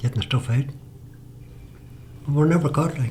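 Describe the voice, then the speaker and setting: A man speaks with a Northern Irish accent. His pitch sits fairly high and moves with ordinary variation. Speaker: retired fisherman. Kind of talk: oral history interview answer.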